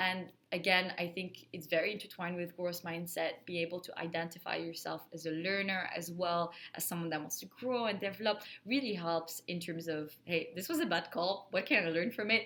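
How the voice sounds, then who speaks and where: A bright, sharp voice in a French accent with fairly even intonation at a fairly quick pace. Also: woman, fairly low pitch for a woman. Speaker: account manager in IT sales, video creator. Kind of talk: casual talk to camera, advice. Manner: casual, filler words.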